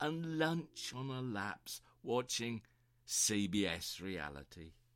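The recording is very clean, and the background is silent. A man talks with very wide pitch swings. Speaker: poet. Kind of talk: poetry reading, spoken word.

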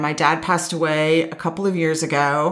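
A woman speaks at a fairly slow pace with a fairly low pitch. Her intonation stays fairly even. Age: 50s. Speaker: podcast host and nature facilitator, retired educator. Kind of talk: personal storytelling monologue.

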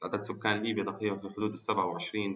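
In a Tripoli Libyan accent, a man speaks at a moderate pace with a fairly low pitch. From Libya, Tripoli. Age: 20s. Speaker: architect, youth participant. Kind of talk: conversational dialogue. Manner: hesitant, many fillers.

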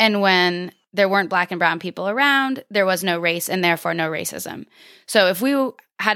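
An ordinary speaking voice with an American accent, moderate pace and ordinary pitch variation, in a very clean recording with a silent background. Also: woman. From US Northeast (southern Vermont). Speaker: community educator and preschool teacher. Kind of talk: interview conversation.

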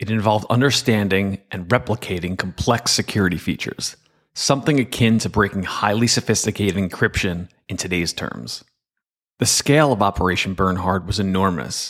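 Here is a plain, everyday voice: a man speaking at a fairly low pitch and a fairly quick pace. His pitch varies in an ordinary way, and the recording is very clean with a silent background. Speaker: cybersecurity executive and podcast host. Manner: measured, steady, formal; earnest, explanatory, with a storyteller's gravity.

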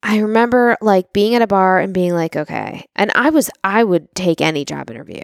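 Woman with an ordinary speaking voice at medium pitch, fairly quick and lively in intonation, in a dry, close sound with no echo and a very clean recording with a silent background. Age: 40s. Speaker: real estate entrepreneur and podcast co-host. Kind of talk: casual chat.

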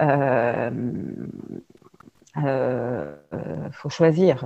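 A woman speaks with ordinary pitch variation. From France, various cities. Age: 40s. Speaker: business founder and leadership trainer. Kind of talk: podcast interview. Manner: hesitant, many fillers and repetitions.

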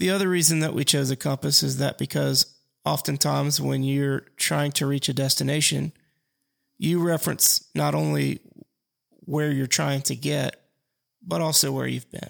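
A man talks at a moderate pace. The recording is very clean with a silent background and a dry, close sound with no echo. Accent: Alabama. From US South, Mobile, Alabama. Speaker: podcast host and financial advisor. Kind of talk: casual solo podcast monologue.

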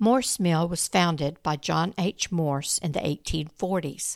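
An unremarkable speaking voice moves at a fairly slow pace with ordinary pitch variation, recorded very cleanly with a silent background and a dry, close sound with no echo. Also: woman. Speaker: true-crime podcast narrator. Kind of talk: true-crime narration, scripted storytelling. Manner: measured, even-paced, storytelling delivery; serious, somewhat formal tone.

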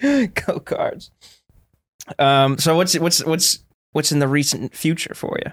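Speaking at a very slow pace with an American accent, a man uses a high pitch and lively intonation, his pauses long and frequent. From Florida, US. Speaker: podcast host, comedian. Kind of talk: casual chat. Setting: Austin.

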